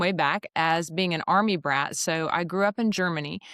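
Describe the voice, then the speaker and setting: A woman speaks in a Southern US accent at medium pitch and a moderate pace. The sound is dry and close with no echo. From Alabama, US South. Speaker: executive recruiter. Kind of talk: podcast interview.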